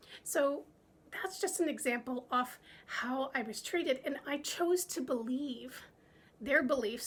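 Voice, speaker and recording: Bubbly and animated, a woman speaks in a high voice. Her intonation is lively. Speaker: business coach. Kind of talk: vlog talk to camera. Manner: bubbly, animated.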